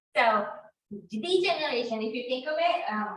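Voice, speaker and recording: In a Japanese accent, a woman speaks at a moderate pace in a fairly high pitch with lively intonation, with audible room echo around her. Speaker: real estate instructor. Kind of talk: class lecture.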